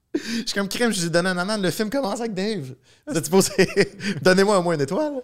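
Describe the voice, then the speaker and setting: A man with a Quebec accent talks at a very fast pace and a high pitch, with lively intonation and long, frequent pauses. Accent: Québécois French. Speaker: film director. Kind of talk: casual chat.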